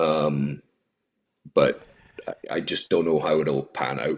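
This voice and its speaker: Speaking at a fairly slow pace, a man talks with a Scottish accent. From Scotland. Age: 30s. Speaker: HVAC business owner. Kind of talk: casual chat.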